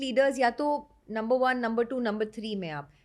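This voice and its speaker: A woman with a non-native accent at a moderate pace, on a very clean recording with a silent background. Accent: non-native Hindi. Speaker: podcast host. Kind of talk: interview.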